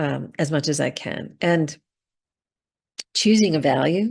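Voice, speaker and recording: A woman speaks with vocal fry against a quiet background. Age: 60s. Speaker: positive psychologist and author. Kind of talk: interview conversation.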